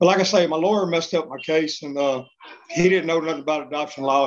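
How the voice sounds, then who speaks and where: Fairly quick in pace, this man talks at a high pitch with fairly even intonation. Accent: Texas. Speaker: deported adoptee. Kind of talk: interview testimony.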